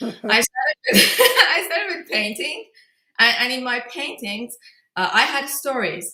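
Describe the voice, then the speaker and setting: Her tone bright and sharp, a woman speaks at a fairly slow pace with ordinary pitch variation. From Iran, grew up in Tehran. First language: Persian. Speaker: film director. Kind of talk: interview. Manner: halting.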